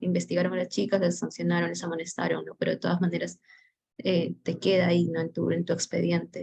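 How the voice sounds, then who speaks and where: A woman with a Peruvian accent talks at a very fast pace. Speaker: course participant. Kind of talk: class discussion comment.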